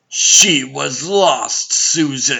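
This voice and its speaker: A man puts on a raspy character voice. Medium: fan dub. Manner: formal, imperious.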